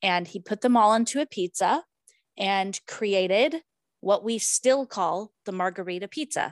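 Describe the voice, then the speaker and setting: A woman talks at a medium pitch and a fairly slow pace, in a normal speaking voice with ordinary pitch variation. The sound is dry and close with no echo, against a quiet background. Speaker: podcast host. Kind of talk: casual chat.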